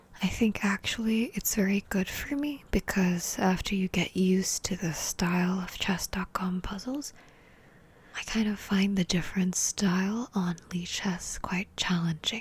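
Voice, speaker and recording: Soft-spoken and somewhat breathy, a woman talks at a fairly slow pace and a medium pitch with ordinary pitch variation. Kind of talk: ASMR chess puzzle commentary. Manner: soft-spoken, relaxing.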